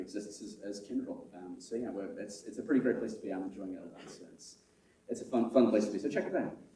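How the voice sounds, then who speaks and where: Audible room echo surrounds a man with an American accent who speaks in a dark, mellow tone at a medium pitch with ordinary pitch variation. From United Kingdom. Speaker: conference chair and systems architect. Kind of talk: conference opening speech. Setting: stage with live audience. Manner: halting, many fillers and repetitions.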